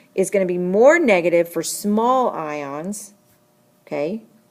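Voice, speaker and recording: Medium in pitch, this woman's voice shows ordinary pitch variation. It is a normal speaking voice. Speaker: chemistry teacher. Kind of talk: lecture. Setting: screencast recording.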